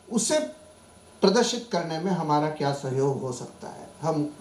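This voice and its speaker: A man's pitch swings very widely. Noticeable background noise and audible room echo accompany his voice. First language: Marathi (speaking Hindi). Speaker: professor. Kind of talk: conference talk. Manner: formal; halting.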